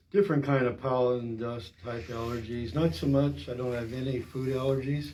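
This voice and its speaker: At a medium pitch and moderate pace, a man speaks with ordinary pitch variation as room echo is audible. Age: 60s. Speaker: class attendee asking questions. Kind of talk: question in a class.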